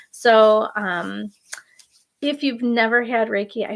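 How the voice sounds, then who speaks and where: A woman is speaking. Her pitch is fairly high. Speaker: Reiki master and meditation guide. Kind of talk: guided meditation with Reiki. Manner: soft-spoken; hesitant, many fillers.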